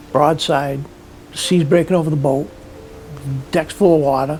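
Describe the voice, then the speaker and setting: A man with an American accent, fairly high in pitch, at a moderate pace with fairly even intonation and music in the background. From Cape Cod, Massachusetts (Provincetown). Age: 70s. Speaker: fisherman. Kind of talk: interview storytelling.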